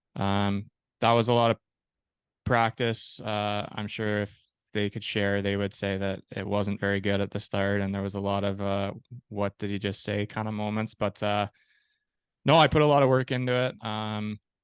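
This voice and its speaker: A man with a Canadian accent speaks at a moderate pace in a fairly low pitch, with fairly even intonation and a plain, everyday voice. The sound is dry and close with no echo, over a quiet background. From Canada, Peterborough, Ontario. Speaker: ice hockey goalie and podcast host. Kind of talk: interview, telling own life story. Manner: casual, with many fillers.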